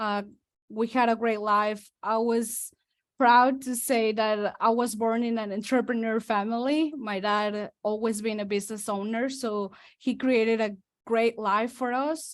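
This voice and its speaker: A woman with a Spanish accent speaks at a fairly slow pace in a fairly high voice, her intonation fairly even. The recording is very clean, with a silent background. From Mexico. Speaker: real estate investor. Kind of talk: testimony.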